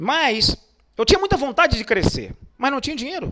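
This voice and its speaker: Speaking at a fairly quick clip, a man keeps his intonation lively. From Brazil, Pernambuco (Northeast), raised in Rio de Janeiro. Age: 40s. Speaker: motivational speaker. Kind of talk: online lecture. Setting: online webinar.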